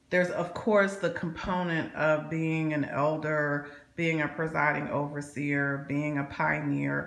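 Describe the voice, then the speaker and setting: Over audible room echo, a woman speaks fairly slowly at a very deep, low pitch with monotone, flat intonation. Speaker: vlogger, former Jehovah's Witness. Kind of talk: personal vlog monologue. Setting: home alone. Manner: halting, many repeated words.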